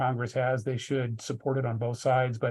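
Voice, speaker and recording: Over a quiet background, a man speaks at a fairly quick pace in a medium-pitched, somewhat breathy voice with monotone, flat intonation. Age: 60s. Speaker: business sale advisor. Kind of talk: interview. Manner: halting, many fillers.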